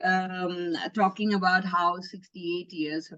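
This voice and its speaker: Fairly slow speech from a woman at medium pitch. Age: 60s. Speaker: nonprofit founder, education advocate. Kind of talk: interview. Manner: articulate.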